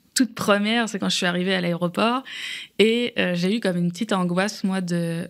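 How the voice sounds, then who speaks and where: A woman's ordinary speaking voice at a medium pitch, fairly quick and fairly even in intonation, in a very clean recording with a silent background. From France. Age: 30s. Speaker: immigrant guest. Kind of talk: podcast interview.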